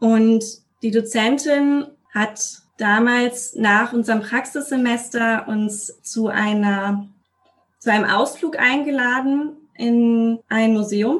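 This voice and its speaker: At a very slow pace, a woman speaks with a fairly high pitch, fairly even intonation and very even loudness. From Westphalia, Germany. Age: 20s. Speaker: deacon and social worker. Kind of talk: interview.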